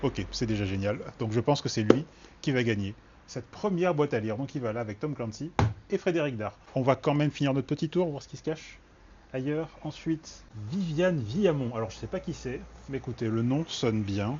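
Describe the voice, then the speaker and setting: A man with a slight Toulouse accent speaks at a fairly quick pace, medium pitch, somewhat breathy, with lively intonation. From southern France, Toulouse. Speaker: book video host. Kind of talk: casual book browsing commentary.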